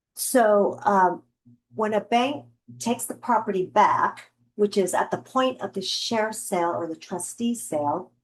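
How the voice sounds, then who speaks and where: An ordinary speaking voice from a woman, fairly high-pitched and fairly slow. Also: lively intonation. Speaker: real estate investor and trainer. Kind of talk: lecture. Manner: casual.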